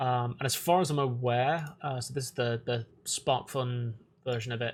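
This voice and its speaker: A man's medium-pitched voice in a monotone, flat delivery. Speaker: electronics engineer. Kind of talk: casual live stream talk. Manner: hesitant, many fillers.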